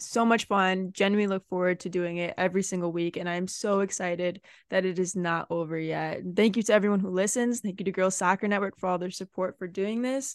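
A woman's unremarkable speaking voice at medium pitch, fairly quick in pace, dry and close with no echo against a quiet background. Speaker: podcast co-host and college soccer player. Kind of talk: casual chat.

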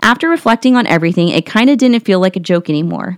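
Animated and enthusiastic, a woman talks at a very fast pace with lively intonation. The recording is very clean and silent behind her, with a dry, close sound and no echo. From Columbus, Ohio. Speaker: podcast host. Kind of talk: ghost story telling, reading a listener's tale aloud. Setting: home recording, audio only. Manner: animated, enthusiastic.

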